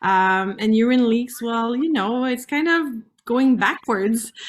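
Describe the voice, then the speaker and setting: A woman with a French-Canadian accent over music in the background. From Canada, French-speaking. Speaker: pelvic floor specialist. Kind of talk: interview. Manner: halting.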